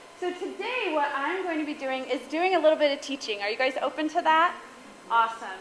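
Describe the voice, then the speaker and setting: Speech with lively intonation moves at a fairly quick pace, and the tone is animated. Noticeable background noise sits behind it. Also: woman, high pitch for a woman. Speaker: guest speaker and podcaster. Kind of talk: talk to a women's group. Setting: stage with audience.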